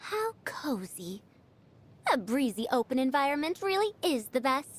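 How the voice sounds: A woman does a put-on character voice with a high pitch. She speaks at a fairly slow pace with big pitch swings.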